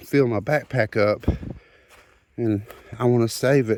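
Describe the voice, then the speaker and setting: A man speaks at a medium pitch in a Southern US accent. His tone is dark and mellow, and his intonation fairly even. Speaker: rockhounding vlogger. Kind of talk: casual outdoor vlog narration. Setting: outdoors in a forest creek. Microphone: phone camera.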